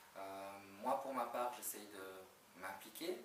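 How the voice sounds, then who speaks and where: Noticeable background noise and audible room echo surround a man speaking at a fairly low pitch with ordinary pitch variation. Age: 40s. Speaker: job candidate, HR manager. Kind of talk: job interview. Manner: hesitant, many fillers.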